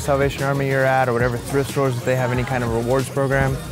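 Clear music plays behind a man as he talks. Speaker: vlogger shopping. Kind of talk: casual vlog chat. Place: shop. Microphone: lapel.

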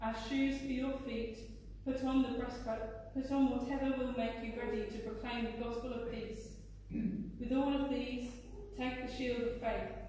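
A woman speaks at a moderate pace in a high, monotone, flat voice. The room echoes strongly, and there is light background noise. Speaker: scripture reader. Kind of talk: scripture reading. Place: church. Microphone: camera far.

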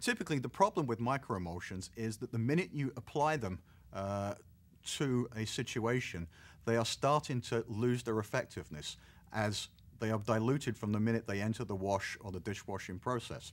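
Speaking at a fairly quick pace, a man's pitch varies in an ordinary way. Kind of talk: interview answer. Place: studio.

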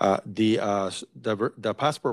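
The intonation stays fairly even. The background is quiet. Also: man. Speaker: college vice president; presenter. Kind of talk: staff meeting update. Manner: halting. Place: meeting room. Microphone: podium.

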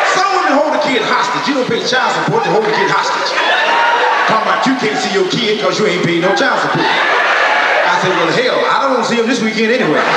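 A man with an American accent at a very fast pace, with loud background noise and audible room echo. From Texas. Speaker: stand-up comedian. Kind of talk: live stand-up comedy set. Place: stage.

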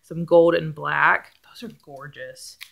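A woman speaking at a fairly slow pace against a quiet background. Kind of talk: casual vlog chat. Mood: excited, laughing. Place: home room. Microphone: phone near.

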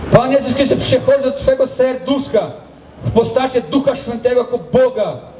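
Pitch varies in an ordinary way, with audible room echo and light background noise. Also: man. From Brazil. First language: Portuguese (speaking Polish). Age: 40s. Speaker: pastor. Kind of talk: testimony. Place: stage. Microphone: pa.

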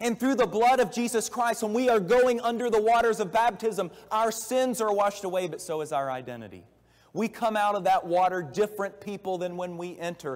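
A man's high-pitched voice with ordinary pitch variation, against a quiet background. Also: fairly quick pace. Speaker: preacher. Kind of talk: sermon. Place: church.

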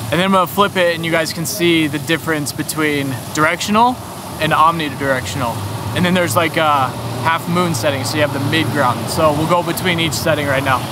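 A man speaks at a fairly quick pace with ordinary pitch variation. The sound is dry with no echo, though loud noise fills the background. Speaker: vlogger reviewing gear. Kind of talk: casual vlog chat. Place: street. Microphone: phone near.

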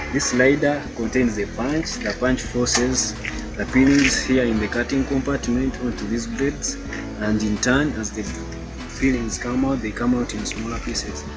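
At a moderate pace, a man speaks while clear music plays behind him. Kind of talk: tutorial. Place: street. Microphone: phone near.

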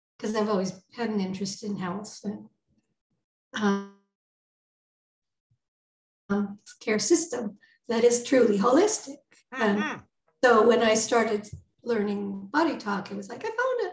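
A woman speaks at a fairly slow pace with long, frequent pauses and ordinary pitch variation, her voice somewhat breathy amid audible room echo and light background noise. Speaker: guest. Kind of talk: interview answer. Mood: warm, laughing at times.

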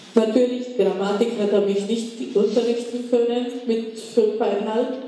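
Strong room echo surrounds a woman speaking at a fairly slow pace in a monotone, flat intonation. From Czech Republic. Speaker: Holocaust survivor and contemporary witness. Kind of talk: public lecture. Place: hall.

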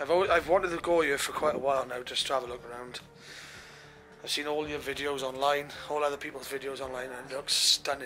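A man speaks with fairly even intonation. Light background noise sits behind him. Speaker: urban explorer vlogger. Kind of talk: casual vlog chat. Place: empty room.

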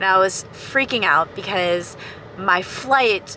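With light background noise and a dry sound free of echo, a woman speaks at a very slow pace with lively intonation. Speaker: travel vlogger. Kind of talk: casual vlog chat. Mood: cheerful storytelling. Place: car. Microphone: phone near.

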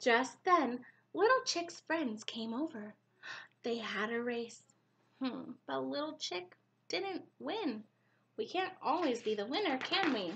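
A woman sings her words out at a high pitch, with very wide pitch swings and a warm, gentle tone. She goes at a very slow pace, with long, frequent pauses. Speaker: preschool teacher. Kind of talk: bedtime story reading aloud to young children. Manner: warm, gentle, animated sing-song storybook voice; pauses to ask children questions, expressive and slow-paced. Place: home room. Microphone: webcam.

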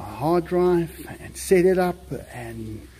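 A man speaks in a somewhat breathy voice. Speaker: pet owner vlogger. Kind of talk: casual vlog chat. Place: garden. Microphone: phone near.

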